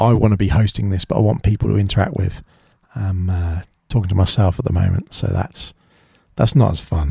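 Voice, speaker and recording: The voice has a dark, mellow tone and sounds somewhat breathy. It moves at a fairly quick pace. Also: man, very deep, low pitch for a man, ordinary pitch variation. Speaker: podcast host. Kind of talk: solo podcast monologue. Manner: halting.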